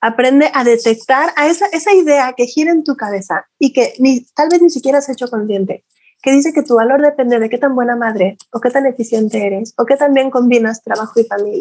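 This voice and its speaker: A woman talks with a high pitch. Her pace is fairly quick and her pitch varies in an ordinary way. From Mexico, Guadalajara. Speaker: women's mentor and fertility professional. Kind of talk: interview testimony. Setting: video call.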